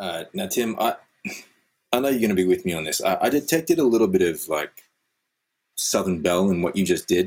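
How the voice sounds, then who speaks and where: With an Australian accent, a man of medium pitch talks at a fairly quick pace, his pitch swinging very widely and his speech marked by long, frequent pauses. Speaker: podcast co-host and actor. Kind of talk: casual comedic chat.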